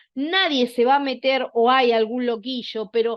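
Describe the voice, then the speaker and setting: Moderately paced woman's voice, high in pitch, its pitch variation ordinary. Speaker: workshop instructor. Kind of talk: lecture.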